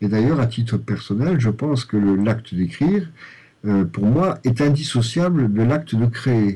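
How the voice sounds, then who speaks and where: Here a man speaks with a dark, mellow tone, somewhat breathy, at a medium pitch. His loudness stays very even, his pace is fairly slow and his intonation is lively. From Lorraine, France. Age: 50s. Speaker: novelist and primary school headteacher. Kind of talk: interview. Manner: halting, many repetitions and fillers.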